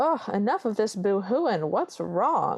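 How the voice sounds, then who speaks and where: A put-on character voice in a Southern accent, female-sounding and at a fairly high pitch. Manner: brusque, impatient.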